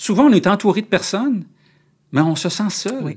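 His pitch leaps and dips over a very wide range as the man talks at a medium tempo. Behind him there is total silence on a very clean recording. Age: 50s. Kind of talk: interview. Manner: halting.

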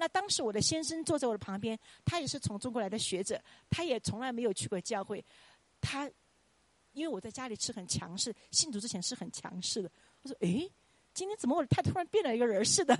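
Very fast and high-pitched, a woman talks with very wide pitch swings in a dry, close sound with no echo. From China, Chongqing. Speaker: Chinese language professor. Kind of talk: testimony. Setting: church.

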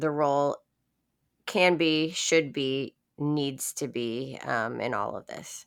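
In a very clean recording with a silent background, a woman with a very deep, low voice talks at a very slow pace in an American accent. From Florida. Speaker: podcast host. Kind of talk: interview.

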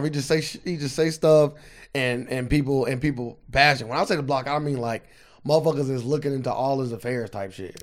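On a very clean recording with a silent background, a man with a normal speaking voice talks at a fairly quick pace and a fairly high pitch, with ordinary pitch variation. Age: 20s. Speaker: podcast co-host. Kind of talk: casual chat.

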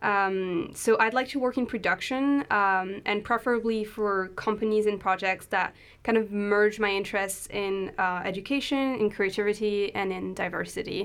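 A woman talks at a moderate pace with a French accent, her pitch medium and her intonation fairly even. She leaves hardly any pauses, and the recording is very clean with a silent background. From France. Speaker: PhD student and audio drama producer. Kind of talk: podcast interview.

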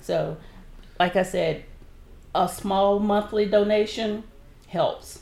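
In a Southern US accent, a woman speaks at a very slow pace with monotone, flat intonation and long, frequent pauses. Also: medium pitch for a woman. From southern Alabama. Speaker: nonprofit board member, retired civil servant. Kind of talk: interview. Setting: radio studio.

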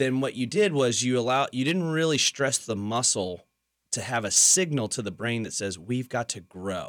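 A man talks at a moderate pace with lively intonation and a medium pitch, in an ordinary speaking voice, on a very clean recording with a silent background. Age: 30s. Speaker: fitness coach. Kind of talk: casual chat. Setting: studio.

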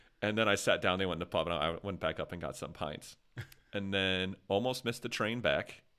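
A man talks in a normal speaking voice with an American accent, fairly low in pitch and fairly quick, with ordinary pitch variation. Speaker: podcast host. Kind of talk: casual chat.

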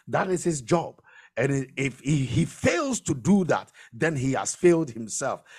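Using a normal speaking voice, a man speaks at a fairly slow pace with a fairly high pitch and lively intonation. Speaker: pastor or preacher leading prayer. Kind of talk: fervent prayer and declaration, sermon-like. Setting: live radio and online broadcast. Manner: commanding, intense, declaring blessings with rising urgency; loud, rhythmic, preacher-style cadence with repeated phrases.

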